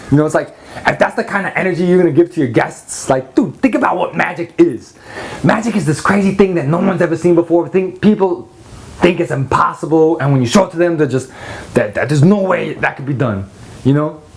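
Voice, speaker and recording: Over noticeable background noise, a man talks at a very fast pace in a high pitch with an animated tone. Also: ordinary pitch variation. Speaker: magic product reviewer. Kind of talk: product review rant.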